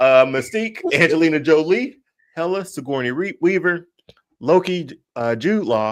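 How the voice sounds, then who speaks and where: On a very clean recording with a silent background, a man with a Mississippi accent talks at a moderate pace with very wide pitch swings. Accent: Mississippi twang. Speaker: podcast host. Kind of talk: casual chat.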